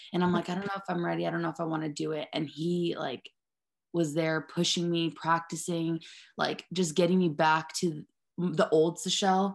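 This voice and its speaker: Here a woman talks at a moderate pace in an American accent. Her pitch is fairly low. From US, Mexican American. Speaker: softball catcher. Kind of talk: casual interview chat. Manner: animated.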